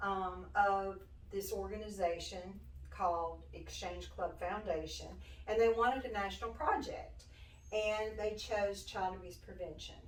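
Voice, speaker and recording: A woman with a Southern US accent at a fairly slow pace, with audible room echo. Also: big swings in loudness. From US South, western Tennessee. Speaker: nonprofit director. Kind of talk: interview. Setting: studio.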